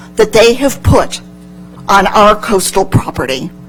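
A woman speaks with music in the background. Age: 60s. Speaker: public commenter. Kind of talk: public comment at city meeting.

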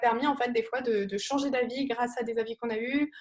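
Talking at a fairly quick pace, a woman uses a high voice with fairly even intonation. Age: 20s. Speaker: student entrepreneur, startup founder. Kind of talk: live talk presenting a project.

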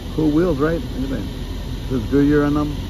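Noticeable background noise runs under the recording. The man's voice sounds dry, with no echo. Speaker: toy shop owner vlogger. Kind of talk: casual vlog chat. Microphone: phone near.

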